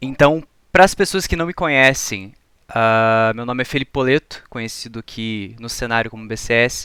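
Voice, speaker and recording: In a very clean recording with a silent background, a man with a bright, sharp tone talks at a moderate pace with big swings in loudness. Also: medium pitch for a man, ordinary pitch variation. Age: 20s. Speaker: esports data analyst and lecturer. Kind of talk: lecture. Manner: formal.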